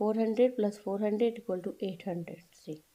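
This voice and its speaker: A woman speaks at a medium pitch with a dark, mellow tone. Her intonation stays fairly even. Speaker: programming instructor. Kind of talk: tutorial.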